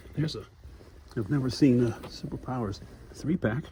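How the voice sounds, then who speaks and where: A man whispers with vocal fry at a moderate pace. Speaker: toy collector vlogger. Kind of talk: casual vlog walkthrough. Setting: inside a store. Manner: whispering.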